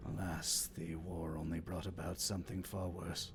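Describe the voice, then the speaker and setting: A put-on character voice at a moderate pace, over loud background noise. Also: man, very deep, low pitch for a man. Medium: actual play. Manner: solemn, measured.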